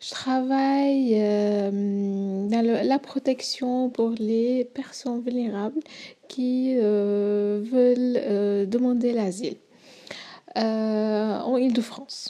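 With an Arabic accent, a woman speaks at a very slow pace in a dark, mellow tone, her fairly high pitch held to fairly even intonation. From Syria. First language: Arabic (speaking French). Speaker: humanitarian worker. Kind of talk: radio interview.

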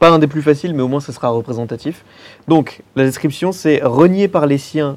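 A man's fairly high, fairly quick, unremarkable speaking voice with ordinary pitch variation. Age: 30s. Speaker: film podcaster. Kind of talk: casual panel discussion. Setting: filmed panel in a cinema.

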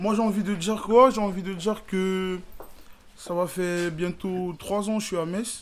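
A man's high-pitched voice, fairly slow and with fairly even intonation. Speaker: local resident. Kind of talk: casual chat.

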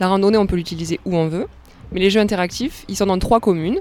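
A woman speaks at a very fast pace, her pitch in the medium range. Her intonation stays fairly even. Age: 20s. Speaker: tourism officer. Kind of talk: radio interview. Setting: outdoors by a canal lock.

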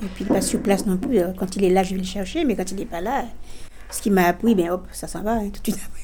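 Noticeable background noise and audible room echo surround a woman at medium pitch. She talks fairly quickly with ordinary pitch variation. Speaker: senior learning computer skills. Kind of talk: interview testimony. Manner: halting.

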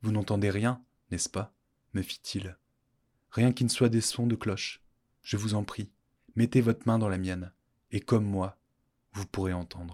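A man's fairly low, dark, mellow voice with a warm, dramatic tone and long, frequent pauses. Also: fairly even intonation, fairly slow pace. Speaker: podcast storyteller. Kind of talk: scripted narration of a folk tale. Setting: studio. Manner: formal, literary, with dramatic pauses.

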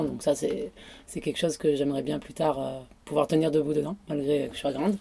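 A woman with a very deep, low pitch and a dark, mellow tone speaks at a fairly quick pace with vocal fry. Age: 30s. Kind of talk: casual interview. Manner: hesitant.

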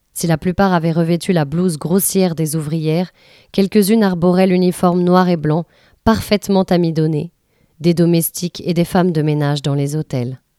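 This woman speaks at a moderate pace in a fairly low, dark and mellow voice with fairly even intonation, the sound dry and close with no echo on a very clean recording against a silent background. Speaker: reader of book excerpts. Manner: measured, atmospheric, narrative.

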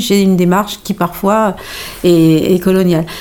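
Noticeable background noise runs under the recording. A woman speaks at a medium pitch and moderate pace with fairly even intonation. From Normandy (Pays de Caux) with Malian heritage. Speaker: playwright and stage director. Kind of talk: interview.

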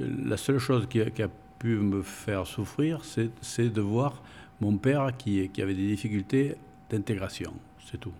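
At a fairly slow pace, a man talks in a medium-pitched voice with a dark, mellow tone and ordinary pitch variation. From Bordeaux, France (Spanish immigrant parents). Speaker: long-time local resident. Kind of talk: interview, life story. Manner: halting, many hesitations.

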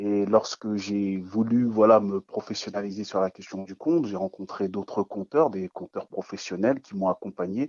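At a moderate pace with hardly any pauses, a man speaks in a fairly low voice with ordinary pitch variation and big swings in loudness. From Ghana. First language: not French (speaking French). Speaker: storyteller. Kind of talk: radio interview.

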